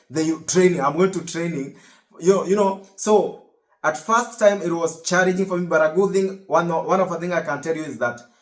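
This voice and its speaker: Pitched high and talking at a fairly quick pace, a man with a Kenyan accent shows ordinary pitch variation. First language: Kikuyu. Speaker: US Navy service member and vlogger. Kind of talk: casual vlog monologue. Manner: halting, many repetitions.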